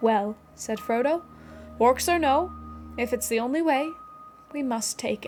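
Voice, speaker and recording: With music in the background, a woman speaks fairly slowly at a high pitch, with ordinary pitch variation and long, frequent pauses. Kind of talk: audiobook-style reading of a novel passage.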